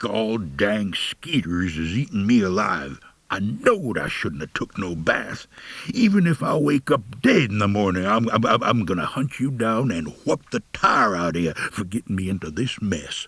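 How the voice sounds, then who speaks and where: In a put-on character voice, a man growls in a gruff, fairly low register, keeping a moderate pace with lively intonation. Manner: complaining, threatening.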